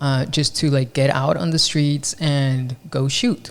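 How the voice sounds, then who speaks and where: A man with a Spanish accent, fairly high in pitch, with fairly even intonation. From Mexico. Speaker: podcast host, photographer. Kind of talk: casual chat.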